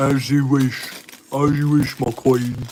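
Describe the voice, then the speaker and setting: Putting on a character voice in a British accent, a man speaks at medium pitch and a fairly slow pace in a monotone, flat intonation. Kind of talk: formal, courtly.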